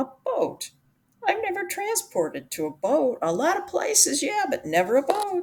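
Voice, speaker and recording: A woman puts on a character voice, pitched extremely high and delivered at a moderate pace. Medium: read story.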